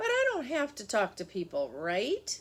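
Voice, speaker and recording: A woman puts on a character voice, keeping a high pitch and a moderate pace. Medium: read story. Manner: quiet, shy.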